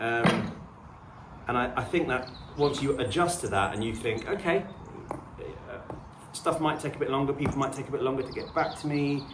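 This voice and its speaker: Someone with a southern English accent speaks at a moderate pace with ordinary pitch variation and long, frequent pauses, in audible room echo with noticeable background noise. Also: man, fairly high pitch for a man. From southern England, suburban/urban. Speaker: homesteading vlogger. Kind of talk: casual to-camera chat. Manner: relaxed, hesitant with fillers.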